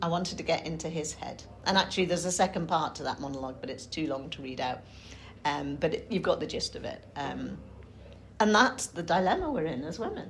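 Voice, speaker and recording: In a Yorkshire accent, a woman with a fairly low, somewhat breathy voice speaks very fast with lively intonation. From Yorkshire, England. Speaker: writer giving a talk. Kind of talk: talk with group discussion. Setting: talk to a group in Cambridge. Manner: hesitant, with ums.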